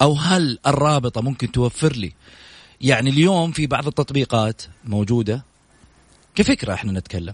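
A man speaks at a moderate pace and medium pitch with lively intonation. His voice is somewhat breathy, recorded with a dry, close sound and no echo. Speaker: sports radio host. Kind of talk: sports talk radio interview. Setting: radio studio, live. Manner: animated.

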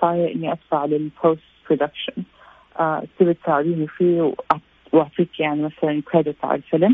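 Very deep, low female voice with ordinary pitch variation. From Saudi Arabia, Jeddah. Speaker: visual effects artist. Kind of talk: interview.

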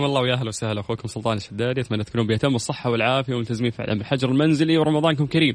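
With an animated tone, a man with a medium-pitched voice races along at a very fast pace with hardly any pauses and ordinary pitch variation. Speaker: radio quiz show host. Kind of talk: radio call-in quiz show. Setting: radio studio.

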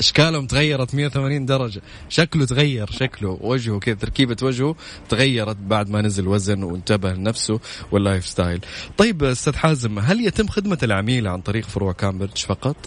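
Moderate pace in a plain, everyday voice. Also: man, medium pitch for a man. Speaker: radio host. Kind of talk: live radio show chat. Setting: radio studio. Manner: chatty, casual.

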